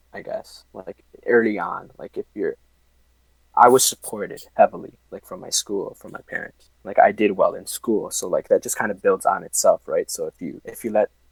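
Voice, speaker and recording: A man talks at a moderate pace with big swings in loudness, the sound dry and close with no echo. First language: Spanish. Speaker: engineering student. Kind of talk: casual interview.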